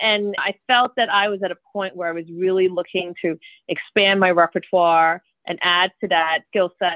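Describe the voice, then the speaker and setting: In an American accent, a woman with a plain, everyday voice speaks at a medium pitch and a moderate pace. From New York City (the Bronx). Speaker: corporate lawyer and novelist. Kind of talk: interview.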